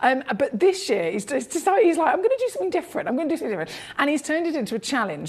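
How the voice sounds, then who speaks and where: Over noticeable background noise, a woman with a British accent talks at a very fast pace with very wide pitch swings. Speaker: TV shopping presenter. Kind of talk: live sales pitch. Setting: studio. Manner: fast, chaotic.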